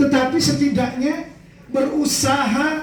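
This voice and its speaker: A man is talking amid noticeable background noise, with audible echo from the room. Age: 40s. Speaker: Islamic preacher. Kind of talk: sermon. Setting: memorial prayer gathering with audience.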